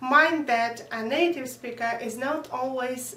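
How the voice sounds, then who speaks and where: A woman speaks at a very slow pace with ordinary pitch variation. Audible room echo and noticeable background noise surround her voice. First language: Russian. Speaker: language teacher. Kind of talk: lesson. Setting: at home.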